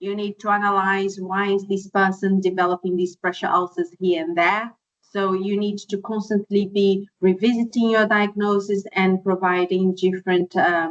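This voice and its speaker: At a moderate pace, a woman with a non-native accent speaks in a medium pitch with monotone, flat intonation. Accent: foreign. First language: not English. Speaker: podiatrist. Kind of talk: webinar presentation. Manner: hesitant, many fillers.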